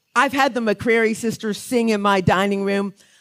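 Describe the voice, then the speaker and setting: A normal speaking voice from a woman with an American accent, medium pitch, ordinary pitch variation and a moderate pace, on a very clean recording with a silent background. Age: 60s. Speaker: author and songwriter, award honoree. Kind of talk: award acceptance speech. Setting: stage with audience at a gala.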